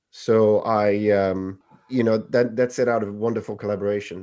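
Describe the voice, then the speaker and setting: Against a quiet background, a man talks at a moderate pace with a fairly low pitch. His intonation is flat and monotone, and his tone is dark and mellow. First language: not English. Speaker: film director. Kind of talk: interview. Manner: halting, many fillers and repeats.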